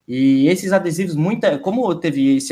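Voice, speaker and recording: A man speaks with ordinary pitch variation. It is an ordinary speaking voice. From Santa Catarina, southern Brazil. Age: 20s. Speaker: streamer and esports journalist. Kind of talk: casual chat. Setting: live stream.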